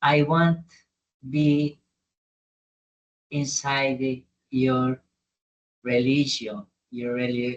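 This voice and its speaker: With a non-native accent, a man at medium pitch speaks at a very slow pace, with fairly even intonation and long, frequent pauses. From Brazil, Minas Gerais. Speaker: humanitarian adventurer. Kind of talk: interview. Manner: halting.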